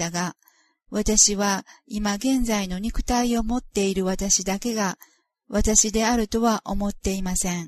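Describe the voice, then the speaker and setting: Against a quiet background, a woman with a medium-pitched, somewhat breathy voice speaks at a very slow pace with fairly even intonation. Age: 50s. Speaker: author of a spiritual memoir. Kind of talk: reading aloud.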